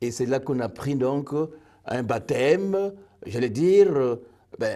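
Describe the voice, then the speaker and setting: Lively in intonation yet very slow in pace, a man speaks at medium pitch with a dark, mellow tone. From Burkina Faso. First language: a Burkinabe language (speaking French). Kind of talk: interview.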